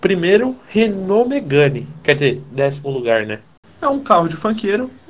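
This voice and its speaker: A man speaks in a high pitch with very wide pitch swings. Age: 20s. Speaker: podcast co-host. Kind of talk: casual chat.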